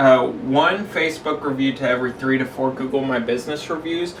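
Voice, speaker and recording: A man speaks at a fairly high pitch, with ordinary variation. Audible room echo and noticeable background noise come through. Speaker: cleaning business owner and coach. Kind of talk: tutorial. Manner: casual, with frequent fillers.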